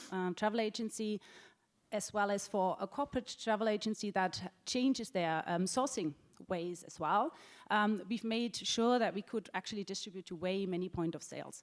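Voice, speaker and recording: Speaking with a German accent, a woman moves at a fairly quick pace with ordinary pitch variation. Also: very clean recording, silent background. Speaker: travel technology executive. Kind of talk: panel discussion. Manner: halting, many fillers.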